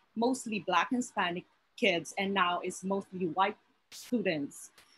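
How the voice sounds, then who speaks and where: In a strong Filipino accent, a woman speaks at a medium pitch with ordinary pitch variation. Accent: heavy Filipino. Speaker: teacher and graduate student. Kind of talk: panel discussion. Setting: video call. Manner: halting.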